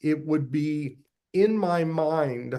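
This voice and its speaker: A man with a fairly high pitch talks in a normal speaking voice, his intonation fairly even. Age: 60s. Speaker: podcast host. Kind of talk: interview.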